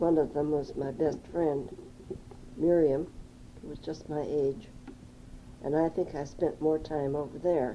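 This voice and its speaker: With an American accent, a woman talks at a fairly slow pace and fairly even intonation against noticeable background noise. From US Midwest, Madison, Wisconsin. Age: 70s. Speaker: oral history interviewee. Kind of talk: oral history interview. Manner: reminiscing, with hesitations.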